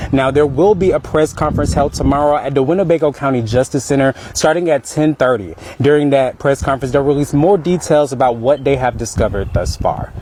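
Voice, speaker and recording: Noticeable background noise sits behind a man speaking at a very fast pace. His pitch is fairly high and his loudness very even. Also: ordinary pitch variation. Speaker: TV news reporter. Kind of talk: TV news report.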